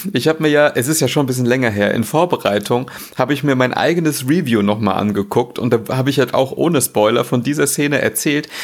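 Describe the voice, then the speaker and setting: Noticeable background noise sits under a man talking at a very fast pace with hardly any pauses and ordinary pitch variation. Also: medium pitch for a man, very even loudness. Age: 30s. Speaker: gaming blogger. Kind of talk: casual chat.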